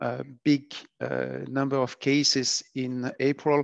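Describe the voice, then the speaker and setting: Over a quiet background, a man with a French accent speaks at medium pitch with monotone, flat intonation, in a dry, close sound with no echo. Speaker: epidemiology researcher. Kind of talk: lecture. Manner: halting.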